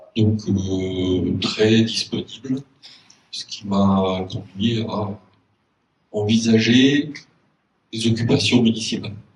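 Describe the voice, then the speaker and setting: Somewhat breathy, a man speaks at a very slow pace, his loudness swinging widely and his pauses long and frequent. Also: fairly low pitch for a man. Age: 60s. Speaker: local election candidate. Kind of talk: public meeting speech. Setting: community hall with audience. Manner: hesitant, frequent fillers.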